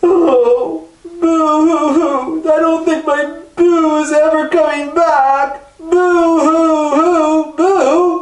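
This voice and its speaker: A put-on character voice, high in pitch and very slow, with slight echo. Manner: sad, despairing.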